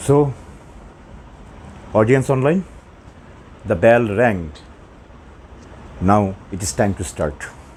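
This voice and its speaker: A man with a Bengali accent speaks at a very slow pace in a fairly low voice. Long pauses come often, over light background noise. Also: lively intonation. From Bangladesh or West Bengal. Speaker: math teacher. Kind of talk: lecture. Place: classroom. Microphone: lapel.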